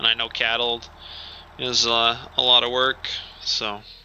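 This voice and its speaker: Over noticeable background noise, a man at a medium pitch speaks at a moderate pace in a monotone, flat intonation. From Alberta, Canada. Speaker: game streamer and grain farmer. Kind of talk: live gameplay stream chat. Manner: casual, hesitant with fillers.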